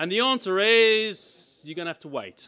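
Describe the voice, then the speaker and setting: Raised and projected, a man's voice comes across high-pitched with a bright, sharp tone. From South Africa. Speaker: engineering professor. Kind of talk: conference talk.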